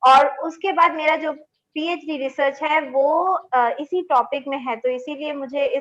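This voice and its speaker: A woman with a Bengali accent speaks at a high pitch with fairly even intonation. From India, Delhi. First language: Bengali (speaking Hindi). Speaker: linguist, assistant professor. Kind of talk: webinar panel discussion.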